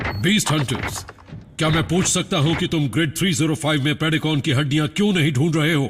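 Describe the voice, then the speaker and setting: A man performs in a put-on character voice at a fairly high pitch. Clear background noise is present. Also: fairly quick pace. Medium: fan dub. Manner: stern, clipped.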